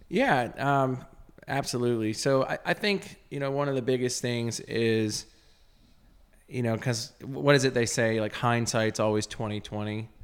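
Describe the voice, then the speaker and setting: Someone with a Texan accent talks at a moderate pace with ordinary pitch variation. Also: man, medium pitch for a man. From Texas (Azle, near Dallas). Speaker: clothing company founder. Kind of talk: casual interview chat, personal testimony. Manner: halting, many fillers.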